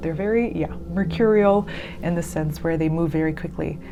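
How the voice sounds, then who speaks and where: A woman talks amid audible room echo and noticeable background noise. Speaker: tarot card reader. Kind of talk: tarot reading. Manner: fast; hesitant, many fillers.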